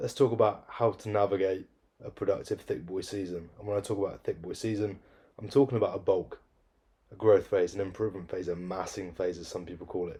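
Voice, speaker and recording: A man with a British accent talks at a very fast pace. His volume swings a lot between loud and soft. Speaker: fitness coach and vlogger. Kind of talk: casual vlog monologue. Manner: deadpan.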